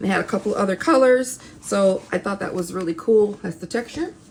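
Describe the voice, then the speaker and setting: A woman of medium pitch talks fairly quickly with lively intonation while noticeable background noise carries on behind her. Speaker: crafting YouTuber. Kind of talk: haul video, casual show-and-tell.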